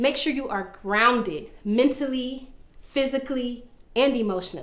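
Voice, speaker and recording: Over audible room echo, a woman speaks at a moderate pace in an animated tone, her high pitch moving with ordinary variation. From Florida, Orlando. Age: 20s. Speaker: vlogger. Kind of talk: personal testimony monologue.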